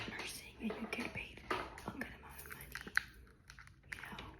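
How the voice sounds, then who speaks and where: Whispering in a relaxed tone, a woman speaks at a fairly slow pace against noticeable background noise. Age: 20s. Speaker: ASMR creator. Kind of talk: whispered personal update ramble to camera. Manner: soft-spoken, relaxed, rambling.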